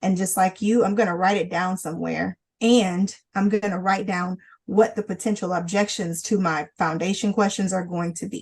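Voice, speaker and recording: The voice is somewhat breathy with fairly even intonation. It moves at a moderate pace. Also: woman, medium pitch for a woman. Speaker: lawyer presenting a legal training webinar. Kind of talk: legal training webinar. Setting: online webinar. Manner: repetitive, halting.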